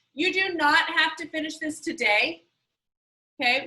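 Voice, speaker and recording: Her voice is raised and projected. The tone comes across bright and sharp from this woman. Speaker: school teacher. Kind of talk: classroom instruction.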